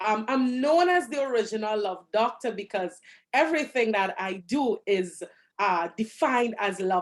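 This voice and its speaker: A woman speaks in a Trinidadian accent at a moderate pace. Her fairly high voice swings very widely in pitch. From Trinidad and Tobago. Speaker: relationship coach. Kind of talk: interview.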